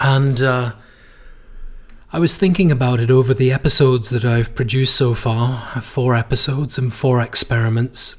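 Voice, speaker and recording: At a moderate pace, a man talks with medium pitch, very even loudness, fairly even intonation, and a somewhat breathy voice. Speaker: podcast host. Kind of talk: casual monologue.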